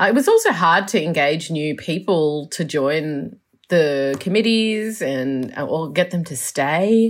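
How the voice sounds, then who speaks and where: A woman with an Australian accent speaks at a fairly low pitch and a fairly slow pace, with lively intonation. The recording is very clean, with a silent background. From Melbourne, Australia. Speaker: urban planner. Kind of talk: interview. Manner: halting, many fillers.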